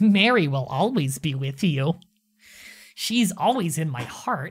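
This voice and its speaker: A put-on character voice at middle pitch moves at a fairly slow pace on a very clean recording with a silent background. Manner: put-on goblin voice.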